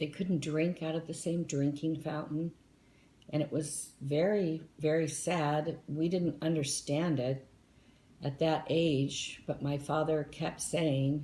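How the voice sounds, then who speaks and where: A woman with an American accent talks very slowly in a very deep, low voice. Her tone is dark, mellow and somewhat breathy, with monotone, flat intonation. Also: very even loudness. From southern California (Anaheim), early childhood in Tennessee. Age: 60s. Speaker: interviewee, retired flight attendant. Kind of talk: interview.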